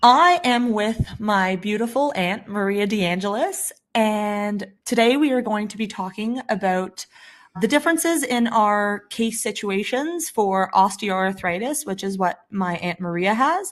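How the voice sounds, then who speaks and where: Over a quiet background, a woman speaks at a fairly slow pace in a normal speaking voice, fairly high-pitched with lively intonation. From Canada (Toronto). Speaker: patient advocate. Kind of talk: scripted narration; recorded interview.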